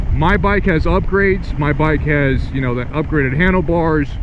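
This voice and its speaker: There is noticeable background noise as a man talks at a moderate pace in a dry sound with no echo. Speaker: motorcycle vlogger. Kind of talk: casual vlog chat. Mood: amused, mildly indignant. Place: motorbike.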